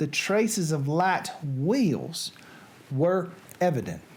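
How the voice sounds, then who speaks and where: A very slow delivery in a Southern US accent. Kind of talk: literary reading.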